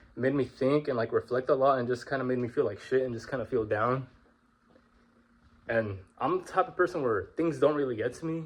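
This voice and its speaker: Somewhat breathy, this man speaks with a medium pitch and ordinary pitch variation. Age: 20s. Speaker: vlogger. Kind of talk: casual monologue. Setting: walking around at home. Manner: informal, halting. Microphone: phone mic, no microphone.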